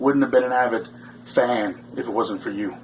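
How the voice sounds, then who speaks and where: A man amid noticeable background noise. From Canada. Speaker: pro wrestler. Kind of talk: wrestling promo.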